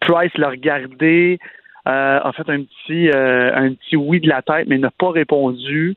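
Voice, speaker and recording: A man has a normal speaking voice, fairly high in pitch. He talks at a fairly slow pace with fairly even intonation. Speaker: radio columnist. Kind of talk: casual chat.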